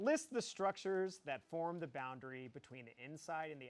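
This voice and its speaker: A man speaks at a moderate pace with ordinary pitch variation. He has an unremarkable speaking voice. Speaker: biology teacher. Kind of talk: lecture. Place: classroom.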